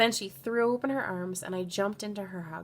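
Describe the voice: Someone is doing plain reading aloud. The words are read straight from the text.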